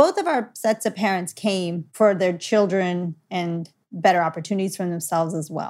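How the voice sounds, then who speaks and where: With a Californian accent, the speaker moves at a moderate pace with fairly even intonation and hardly any pauses, on a very clean recording with a silent background. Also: woman, medium pitch for a woman. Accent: American, Californian. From Los Angeles, US. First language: Gujarati. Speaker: parent. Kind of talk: casual interview.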